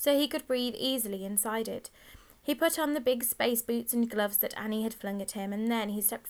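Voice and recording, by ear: Someone reads aloud with a natural voice, and the pitch shifts in an ordinary way.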